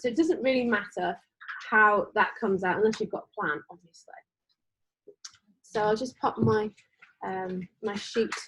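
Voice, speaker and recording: A woman speaks with an English accent at a fairly high pitch. Her pace is moderate. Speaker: art teacher. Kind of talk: class instruction. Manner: loud; casual, hesitant.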